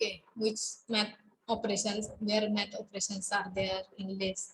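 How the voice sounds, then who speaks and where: Somewhat breathy, a woman speaks at a fairly slow pace in monotone, flat intonation. Noticeable background noise is heard. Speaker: college lecturer. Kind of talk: online class lecture. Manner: halting, many fillers. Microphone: webcam.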